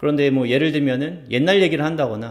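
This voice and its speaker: A man's fairly high voice at a fairly quick pace, an unremarkable speaking voice. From South Korea. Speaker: YouTuber, researcher living abroad. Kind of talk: vlog-style talk to camera.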